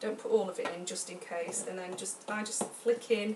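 Loud background noise surrounds a voice moving at a moderate pace. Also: woman. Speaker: home cook vlogger. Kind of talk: tutorial. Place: kitchen. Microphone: camera far.

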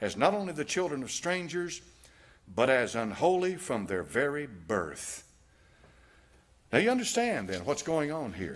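A man with a Southern US accent speaks at a fairly slow pace with long, frequent pauses. His pitch swings very widely. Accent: American Southern. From United States. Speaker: preacher, pastor. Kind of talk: sermon preached to a congregation. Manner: reading aloud from a text. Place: church. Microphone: podium.

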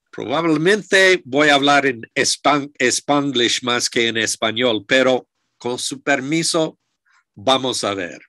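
A man with an English accent speaks at a very slow pace in a bright, sharp tone with ordinary pitch variation, the sound dry with no echo and the background quiet. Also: medium pitch for a man. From United States. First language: English (speaking Spanish). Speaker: archaeologist; lecturer. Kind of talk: lecture. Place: office. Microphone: video call.

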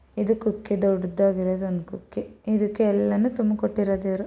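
A woman's medium-pitched voice has a dark, mellow tone and a monotone, flat delivery. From Karnataka, Hassan area. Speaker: vlogger. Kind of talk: show-and-tell vlog. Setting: at home. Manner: casual.

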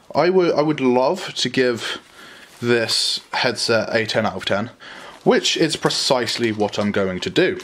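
A man speaks at a fairly slow pace with lively intonation. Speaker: YouTuber reviewing a gaming headset. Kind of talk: casual unboxing review. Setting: at home, filmed by a friend. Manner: casual, crude, joking. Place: home room. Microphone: phone near.

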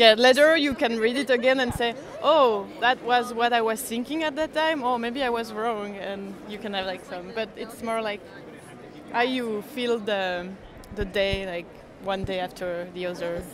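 Faint background noise sits behind a woman whose fairly high pitch and fairly bright tone carry fairly even intonation. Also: moderate pace.

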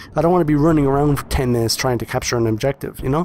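Lively intonation marks a man's speech, heard over noticeable background noise. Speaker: gaming YouTuber. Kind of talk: video game review commentary over gameplay. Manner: casual, friendly, direct to audience.

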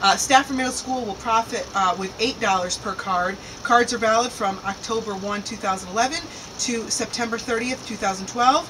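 A woman at a moderate pace with ordinary pitch variation, against noticeable background noise. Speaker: local show co-host. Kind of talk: reading community announcements. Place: waterside.

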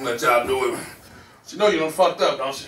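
A man talks at a very fast pace. There is audible room echo and light background noise. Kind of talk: comedy skit dialogue. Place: office. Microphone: camera far.

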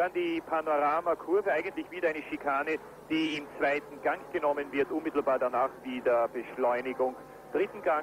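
Noticeable background noise sits behind a man with a fairly high pitch who talks fairly quickly in a calm tone with fairly even intonation. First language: German. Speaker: German race commentator. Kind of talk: live sports commentary. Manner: calm, informative, fairly measured.

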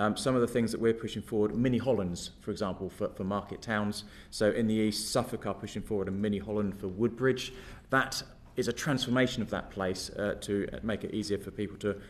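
This man has a normal speaking voice with a fairly low pitch. He talks at a fairly quick pace with fairly even intonation. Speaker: witness. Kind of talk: interview answer. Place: meeting room. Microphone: podium.

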